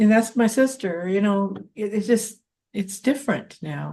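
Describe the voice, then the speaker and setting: A woman speaks at a fairly slow pace with a fairly high pitch and a dark, mellow tone that is somewhat breathy. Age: 70s. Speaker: podcast host. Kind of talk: interview.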